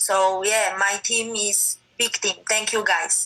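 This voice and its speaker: In a Polish accent, a woman speaks with a fairly high pitch and a bright, sharp tone. Her pace is fairly slow and her intonation monotone and flat. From Poland. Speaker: MMA fighter. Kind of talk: interview. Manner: halting non-native English.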